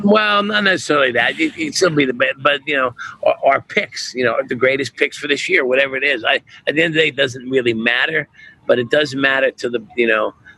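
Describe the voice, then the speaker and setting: Very fast and with a New Jersey accent, a man speaks at a fairly high pitch in a bright, sharp tone with ordinary pitch variation. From New Jersey (born Brooklyn). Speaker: chef and restaurateur. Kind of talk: podcast interview. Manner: halting, with many restarts.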